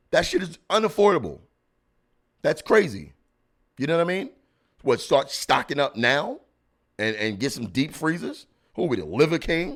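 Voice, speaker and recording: A man with a New York accent at a moderate pace, with long, frequent pauses, on a very clean recording with a silent background. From Brooklyn, New York. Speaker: comedian podcast host. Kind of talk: casual commentary. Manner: animated.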